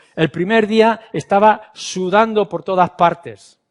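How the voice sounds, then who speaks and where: The sound is dry and close, without any echo. A man talks fairly slowly, his pitch varying in an ordinary way. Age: 60s. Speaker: pastor. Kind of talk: sermon.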